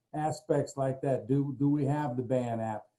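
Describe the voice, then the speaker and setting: A man with a fairly high pitch and a dark, mellow tone talks at a moderate pace. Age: 70s. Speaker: motivational speaker. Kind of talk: panel discussion on a video call.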